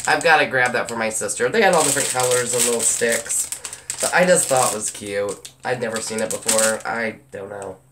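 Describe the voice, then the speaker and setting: A woman talks at a fairly quick pace with a very deep, low pitch. There is noticeable background noise. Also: ordinary pitch variation. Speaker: haul vlogger. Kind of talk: casual haul video chat. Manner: chatty, rambling.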